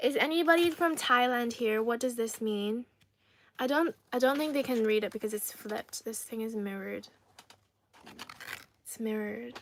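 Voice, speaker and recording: A woman speaks at a moderate pace with a fairly high pitch and ordinary pitch variation. Her speech has long, frequent pauses. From Ireland and Trinidad. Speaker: livestreamer. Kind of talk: casual chat. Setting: live stream.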